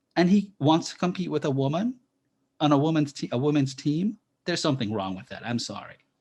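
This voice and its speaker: A man's somewhat breathy, fairly high voice at a very fast pace, with lively intonation and big swings in loudness over a quiet background. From Jamaica. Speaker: author and professor. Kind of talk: webinar interview.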